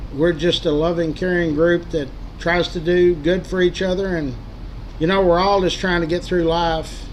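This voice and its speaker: A high-pitched man's voice with a Texas accent, over light background noise. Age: 70s. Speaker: local history group admin and livestreamer; livestreamer. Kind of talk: casual livestream monologue. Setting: livestream. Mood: earnest, caring. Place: home room. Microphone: webcam.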